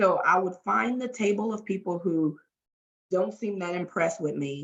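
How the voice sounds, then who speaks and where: A woman with a Southern US accent speaks at a moderate pace, her medium-pitched voice showing vocal fry. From US South, Louisiana. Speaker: talent development trainer and workshop facilitator. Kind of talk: podcast interview.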